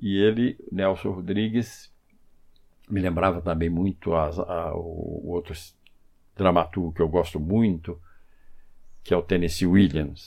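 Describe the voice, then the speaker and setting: Against a quiet background, a man speaks in a very deep, low voice with fairly even intonation. He goes very slowly, leaving long, frequent pauses. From Brazil, Minas Gerais (Três Corações). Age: 80s+. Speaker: film director and screenwriter. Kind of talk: interview. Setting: at his home.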